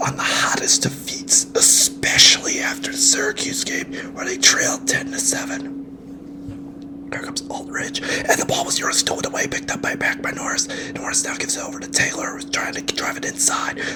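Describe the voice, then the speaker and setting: Whispering in a calm tone at a moderate pace with hardly any pauses, a man speaks over music in the background. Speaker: sports broadcaster doing ASMR. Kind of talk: sports play-by-play commentary. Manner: relaxing, calm.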